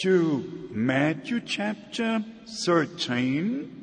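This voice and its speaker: Amid noticeable background noise, a man with a German accent speaks with very wide pitch swings. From Germany. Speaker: traveling preacher. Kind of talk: sermon. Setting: church.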